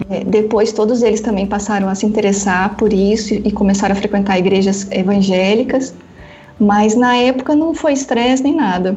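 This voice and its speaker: A woman speaks at medium pitch and a moderate pace, with very even loudness. There is audible room echo. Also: ordinary pitch variation. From northern Paraná, Brazil. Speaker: author and theology school coordinator. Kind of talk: casual interview.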